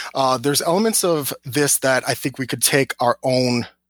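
An ordinary speaking voice with ordinary pitch variation. The sound is dry and close, with no echo. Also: man. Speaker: Star Trek news website runner. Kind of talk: casual chat. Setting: video call.

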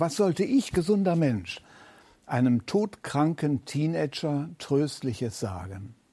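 A man's fairly high-pitched voice, dark and mellow, at a fairly slow pace with very wide pitch swings. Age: 70s. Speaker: retired church leader and preacher. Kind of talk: sermon.

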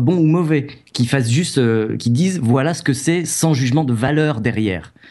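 Over a quiet background, a man at medium pitch speaks at a moderate pace with ordinary pitch variation in a plain, everyday voice. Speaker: video game journalist and author. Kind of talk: casual chat. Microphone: new microphone.

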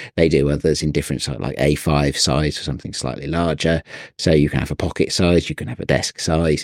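A man with an English accent speaks at a fairly quick pace, his very deep, low voice showing vocal fry over fairly even intonation. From England. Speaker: photography podcast co-host. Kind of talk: casual chat.

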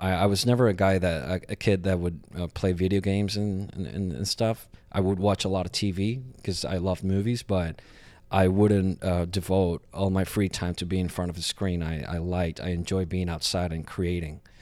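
Very deep and low in pitch, a man speaks at a moderate pace with a Puerto Rican accent. His intonation is fairly even, and the recording is very clean with a silent background. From Puerto Rico. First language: Spanish. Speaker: stage actor. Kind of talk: interview. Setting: on a theater stage. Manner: halting.

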